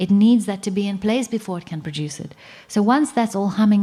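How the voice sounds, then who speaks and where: This woman talks at a fairly quick pace in a medium pitch, her dark, mellow tone somewhat breathy. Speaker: conference speaker on plant medicine. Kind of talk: conference talk.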